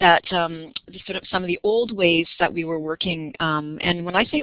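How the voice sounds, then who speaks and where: This woman's voice sits at a fairly low pitch with ordinary pitch variation. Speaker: youth counselor, presenter. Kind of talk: webinar presentation. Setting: online webinar audio. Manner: fast; young-sounding.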